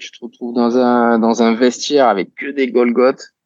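A man talks at a fairly slow pace in a dry, close recording with no echo. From southern France, Toulon. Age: 30s. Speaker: roller skater and coach. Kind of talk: interview. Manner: halting, with many repetitions.

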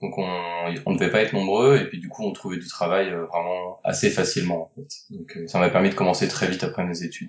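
Hardly pausing, a man with a very deep, low pitch talks at a fairly quick pace with ordinary pitch variation. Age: 40s. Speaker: board game designer and publisher. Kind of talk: interview.

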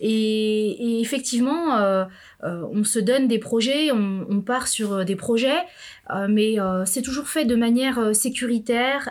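A woman's fairly high voice at a very slow pace. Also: ordinary pitch variation. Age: 40s. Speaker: entrepreneur. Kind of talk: interview. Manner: halting.

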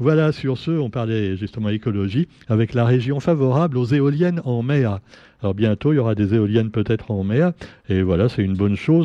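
Medium-pitched man at a moderate pace with lively intonation. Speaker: radio press review columnist. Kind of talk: radio press review. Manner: hesitant with many fillers.

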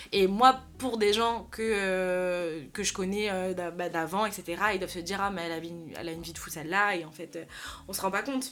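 A woman in a normal speaking voice, medium pitch, ordinary pitch variation, moderate pace and big swings in loudness. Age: 20s. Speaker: influencer talent manager. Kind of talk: casual chat.

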